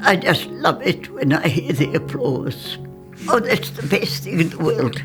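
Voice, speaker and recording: Music plays in the background while the words come at a fairly slow pace. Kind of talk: interview answer.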